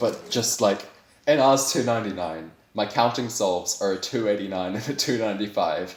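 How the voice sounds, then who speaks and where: Audible room echo surrounds a man with a New Zealand accent who speaks at a fairly quick pace in a fairly low voice. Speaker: speedcuber, world record holder. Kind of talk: interview. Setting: online voice call. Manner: animated, with many fillers and restarts.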